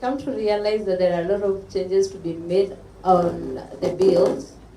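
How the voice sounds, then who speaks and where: Amid audible room echo and noticeable background noise, a woman at a medium pitch speaks at a moderate pace, with ordinary pitch variation and big swings in loudness. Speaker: audience member, content creator. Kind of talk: public forum comment.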